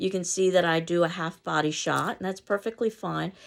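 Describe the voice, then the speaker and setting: On a very clean recording with a silent background, a woman with an American accent speaks fairly quickly with ordinary pitch variation. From US, New York City. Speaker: college instructor. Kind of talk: lecture. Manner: fast.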